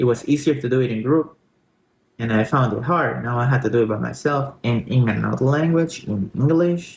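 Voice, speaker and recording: A man talks fairly quickly at a medium pitch, his voice rising and falling in an ordinary way. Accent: Spanish. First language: Spanish. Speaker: Spanish language tutor. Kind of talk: personal story in language lesson.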